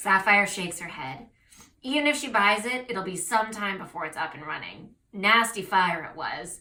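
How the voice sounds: This is a natural reading voice.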